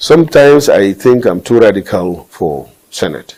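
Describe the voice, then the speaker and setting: With a northern Nigerian accent, a man speaks with lively intonation. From Nigeria, northeast. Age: 60s. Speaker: politician. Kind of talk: interview. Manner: halting.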